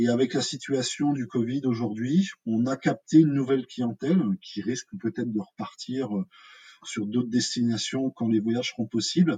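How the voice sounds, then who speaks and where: Dark and mellow in tone, a somewhat breathy man talks at a medium pitch and a moderate pace with ordinary pitch variation, the sound dry and close with no echo. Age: 40s. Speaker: hospitality consultant. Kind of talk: interview. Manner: halting.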